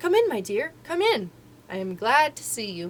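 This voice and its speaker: A woman puts on a shaky character voice with a fairly high pitch, a moderate pace and big swings in loudness. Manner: sweet, welcoming.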